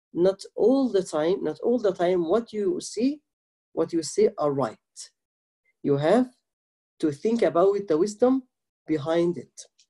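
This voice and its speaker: Against a quiet background, a man with a dark, mellow tone talks at a fairly slow pace, leaving long, frequent pauses. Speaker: religious teacher. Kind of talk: lecture. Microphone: video call.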